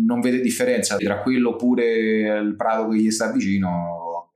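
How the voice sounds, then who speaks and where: At a fairly quick pace, a man talks at medium pitch with audible room echo around him. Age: 30s. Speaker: fantasy map illustrator. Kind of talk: casual chat.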